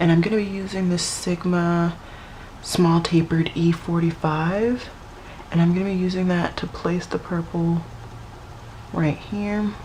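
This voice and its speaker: A woman with a fairly low voice speaks slowly in a monotone, flat way, leaving long, frequent pauses. Noticeable background noise runs underneath. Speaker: beauty vlogger. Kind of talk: makeup tutorial talk to camera. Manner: dry, low-key.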